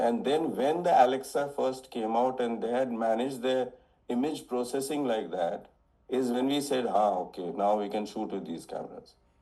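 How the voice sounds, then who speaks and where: A man speaks with a dark, mellow tone at medium pitch. His pace is moderate and his pitch variation ordinary. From India. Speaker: cinematographer. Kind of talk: interview answer.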